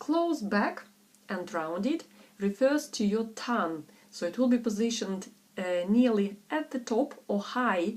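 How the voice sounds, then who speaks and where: A woman with a non-native accent speaks at a fairly slow pace in a fairly high pitch, her voice swinging very widely in pitch. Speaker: English pronunciation tutor. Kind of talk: pronunciation tutorial. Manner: slow, deliberate.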